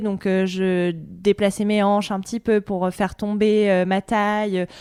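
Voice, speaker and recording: A woman's plain, everyday voice at medium pitch and moderate pace, in a very clean recording with a silent background and a dry, close sound with no echo. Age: 30s. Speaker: journalist and podcaster. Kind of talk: interview.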